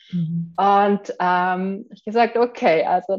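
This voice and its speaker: Over a quiet background, a woman speaks at a medium pitch with ordinary pitch variation. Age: 40s. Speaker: entrepreneur, program client. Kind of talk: testimonial interview.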